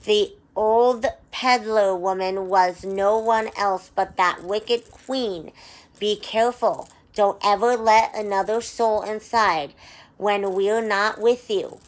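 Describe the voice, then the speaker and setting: In a put-on character voice, a woman speaks at medium pitch and a fairly slow pace with fairly even intonation, on a very clean recording with a silent background. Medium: read story. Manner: falsely sweet, scheming.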